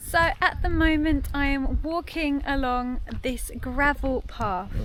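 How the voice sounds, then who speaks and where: A woman speaks with a British accent at a high pitch. Her intonation is lively. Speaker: English teacher. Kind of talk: language-lesson vlog talk to camera. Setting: outdoors, park with traffic noise. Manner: slow, clear.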